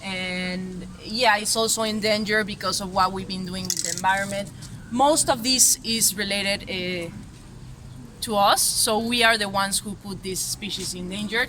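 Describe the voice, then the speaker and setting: Someone speaks at a moderate pace with a Spanish accent. Noticeable background noise runs underneath. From Mexico. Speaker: street artist. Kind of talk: interview. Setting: festival exhibition. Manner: halting, many fillers.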